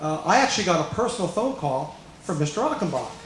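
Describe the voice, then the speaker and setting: A man talks at a moderate pace with lively intonation, his voice carrying audible room echo over noticeable background noise. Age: 60s. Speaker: golf professional. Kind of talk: commencement speech. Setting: graduation ceremony hall with audience.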